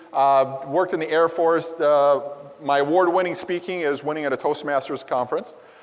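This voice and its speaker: A man with a fairly high pitch and an American accent, talking at a very fast pace over noticeable background noise. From US Midwest, Wisconsin. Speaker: conference presenter. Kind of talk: conference presentation. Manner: halting, with fillers.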